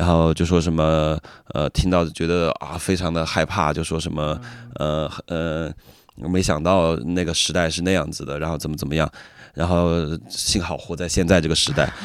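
A man with a very deep, low pitch speaks at a moderate pace in a flat, monotone way, on a very clean recording with a silent background. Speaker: rapper. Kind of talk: interview conversation.

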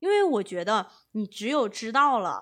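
Her tone bright and sharp, a woman talks at a moderate pace with very wide pitch swings. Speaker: podcast co-host, management consultant. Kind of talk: casual chat.

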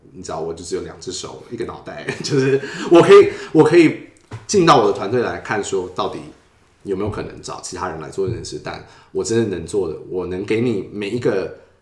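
A man at medium pitch talks at a fairly quick pace with very wide pitch swings and big swings in loudness, heard with audible room echo and noticeable background noise. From Taiwan. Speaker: user experience designer. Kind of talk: interview.

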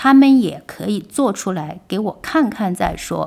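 At a fairly slow pace, a woman speaks in a normal speaking voice at a fairly high pitch with ordinary pitch variation. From China, Wuhan. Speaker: publisher. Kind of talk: interview conversation. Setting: studio in old Shanghai house. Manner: frequent fillers and laughter.

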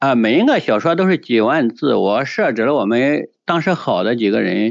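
The speaker takes a fairly slow pace, and the intonation rises and falls in a lively way. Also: man. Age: 50s. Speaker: poet and food delivery rider. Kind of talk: interview. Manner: halting, many fillers.

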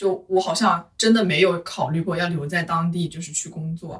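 The woman's tone is bright and sharp. She speaks at a moderate pace. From Hunan, China. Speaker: office worker. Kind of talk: casual chat.

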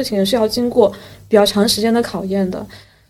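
A fairly high-pitched woman's voice at a fairly quick pace with ordinary pitch variation, over noticeable background noise. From Yueqing, Wenzhou, Zhejiang, China. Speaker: podcast host. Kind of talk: casual chat.

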